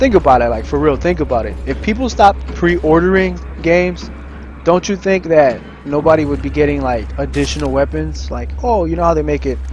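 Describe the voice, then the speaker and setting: Music sounds in the background. The talking moves along fairly quickly. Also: man. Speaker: gaming streamer. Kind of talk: gameplay commentary rant. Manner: mumbling.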